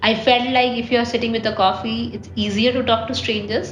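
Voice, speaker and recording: In a room with audible echo and music in the background, a woman speaks at a fairly high pitch with monotone, flat intonation. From India. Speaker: travel vlogger. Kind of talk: casual vlog monologue. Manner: hesitant, many fillers.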